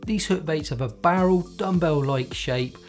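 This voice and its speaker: A man in a Cornish accent with lively intonation, music in the background. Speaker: carp fishing bait presenter. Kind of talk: product explainer to camera.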